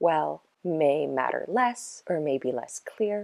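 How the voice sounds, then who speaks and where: The voice is quiet and fairly slow. The recording is very clean, with a silent background and a dry, close sound with no echo. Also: woman. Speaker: witchcraft practice vlogger. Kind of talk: lecture. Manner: quiet, low-voiced.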